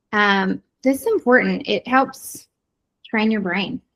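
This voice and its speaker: A woman with a medium pitch and somewhat breathy voice talks fairly slowly with lively intonation. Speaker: ADHD coach. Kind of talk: online workshop presentation.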